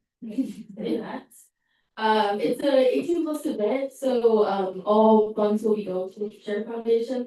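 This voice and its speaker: A woman's fairly high voice, dark and mellow in tone, with a Spanish accent and ordinary pitch variation. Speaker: student government officer. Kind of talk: farewell speech at meeting. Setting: student government meeting room.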